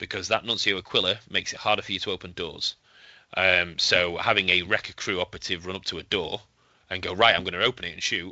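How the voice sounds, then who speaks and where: Speaking at a very fast pace, a man uses a very deep, low pitch with a Yorkshire accent. His intonation stays fairly even. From Yorkshire, northern England. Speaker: tabletop wargame player. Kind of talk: podcast interview. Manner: hesitant, many fillers.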